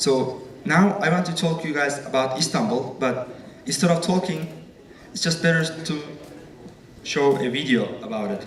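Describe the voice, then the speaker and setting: A man with a Turkish accent speaks at fairly high pitch with long, frequent pauses. Room echo and background noise are both noticeable. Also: ordinary pitch variation, moderate pace. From Turkey. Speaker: student presenter. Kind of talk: presentation.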